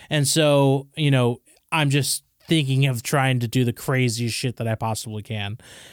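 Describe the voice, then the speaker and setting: On a very clean recording with a silent background and a dry, close sound with no echo, a man with a plain, everyday voice speaks at a medium pitch and a moderate pace, his intonation fairly even. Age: 30s. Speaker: coffee shop co-founder. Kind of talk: casual chat.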